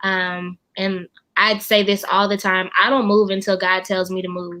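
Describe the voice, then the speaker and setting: The tone is bright and sharp, with a slight Southern US accent. The pace is moderate and the background quiet. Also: woman. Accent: slight Southern twang. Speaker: funeral director and music teacher. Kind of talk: interview conversation. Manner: hesitant, many fillers.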